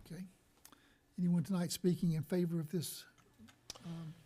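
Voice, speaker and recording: Soft-spoken and flat in a monotone, a man with a high pitch and a dark, mellow tone talks at a moderate pace. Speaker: board chairman. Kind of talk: chairing a public hearing. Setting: county board meeting room.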